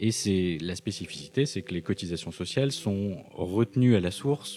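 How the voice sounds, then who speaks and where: A normal speaking voice with lively intonation and hardly any pauses. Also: man. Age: 40s. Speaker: accountant. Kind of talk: interview.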